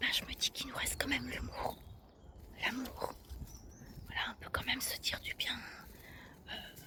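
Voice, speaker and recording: Whispering with long, frequent pauses, the speaker is heard over noticeable background noise. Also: moderate pace. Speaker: ASMR creator. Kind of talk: ASMR walk-and-talk, casual talk to camera. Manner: whispered.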